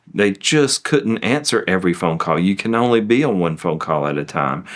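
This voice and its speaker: A man talks in a Southern US accent at a moderate pace with lively intonation. The recording is very clean with a silent background. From US South. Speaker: law firm managing partner. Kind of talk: testimonial interview.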